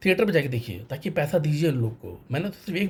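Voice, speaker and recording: The man's voice sits fairly high in pitch. Its pitch variation is ordinary. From North India, Varanasi. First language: Tamil (speaking Hindi). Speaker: banker sharing a film review. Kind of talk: personal vlog monologue.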